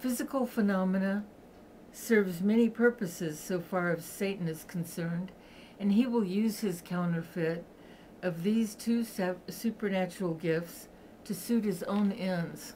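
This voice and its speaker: Somewhat breathy with a dark, mellow tone, a woman speaks with ordinary pitch variation over light background noise. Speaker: reader of a book. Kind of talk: reading aloud. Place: home room. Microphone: webcam.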